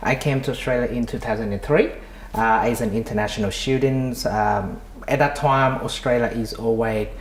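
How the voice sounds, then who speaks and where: A man is speaking. Audible room echo and noticeable background noise fill the recording. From Vietnam. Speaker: migration consultant and entrepreneur. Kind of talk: interview. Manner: halting, many repetitions and fillers.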